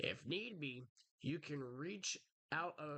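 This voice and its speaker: A man's put-on character voice, raspy and fairly high in pitch, with lively intonation. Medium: game stream. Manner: folksy, calls people pal.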